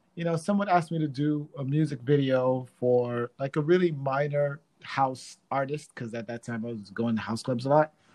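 The man's voice sits at a fairly high pitch with ordinary pitch variation. He moves at a moderate pace with hardly any pauses. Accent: New York. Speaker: dancer and DJ. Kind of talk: casual interview.

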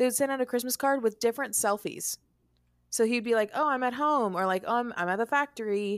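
An ordinary speaking voice from a woman, fairly high in pitch with ordinary pitch variation, in a dry, close, very clean recording with no echo and a silent background. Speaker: podcast co-host. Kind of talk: casual comedic chat.

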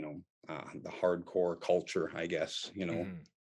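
Speaking with a very deep, low pitch, this man holds a moderate pace. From Canada. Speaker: metal musician and English teacher. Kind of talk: casual chat.

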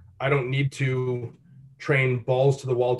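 This man talks at a moderate pace with a medium pitch. His delivery is somewhat breathy. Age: 20s. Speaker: fitness coach. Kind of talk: casual chat.

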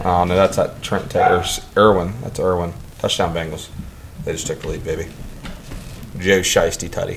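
A man with an American accent speaks with long, frequent pauses. Noticeable background noise and audible room echo are present. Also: fairly quick pace. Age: 30s. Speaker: podcast host. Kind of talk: casual chat.

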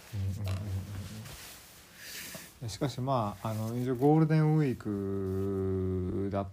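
In a strong Kansai accent, a man with a fairly low pitch and a dark, mellow tone speaks amid audible room echo. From Kansai, Japan (moved from Kanto at age 5). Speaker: solo podcast host. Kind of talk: casual solo talk. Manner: halting, many fillers.

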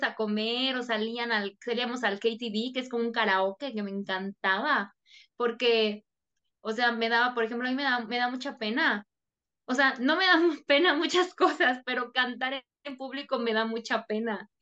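A woman with a Mexican accent, high in pitch, bright and sharp in tone, with ordinary pitch variation at a moderate pace. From Mexico. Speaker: Spanish teacher. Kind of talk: interview.

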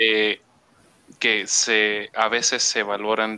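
In a dry, close sound with no echo, a man speaks at a fairly low pitch with a bright, sharp tone. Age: 20s. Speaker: podcast host, operations manager. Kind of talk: casual interview. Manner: halting.

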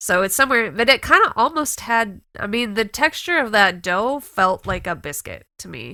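A woman with a fairly high-pitched voice speaks at a moderate pace, with vocal fry, very wide pitch swings and big swings in loudness. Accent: American. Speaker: podcast co-host. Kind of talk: casual chat. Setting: video call.

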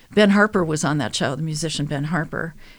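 In a very clean recording with a silent background, a woman with an American accent speaks at a moderate pace in a very deep, low voice. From Minnesota, US Midwest. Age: 70s. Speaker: radio co-host and singer. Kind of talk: casual interview chat.

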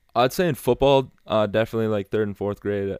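Very clean recording, silent background, of a male speaker with an American accent. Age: 20s. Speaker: college student athlete. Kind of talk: casual interview chat. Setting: home basement studio. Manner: halting, many fillers.

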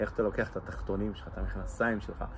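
A man talks at a very fast pace. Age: 40s. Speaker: blind balloon artist. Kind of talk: personal testimony interview.

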